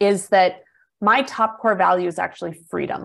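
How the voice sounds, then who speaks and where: With an American accent and fairly even intonation, a woman talks at a moderate pace in an unremarkable speaking voice. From US Midwest, small town. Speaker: business coach. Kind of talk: interview conversation.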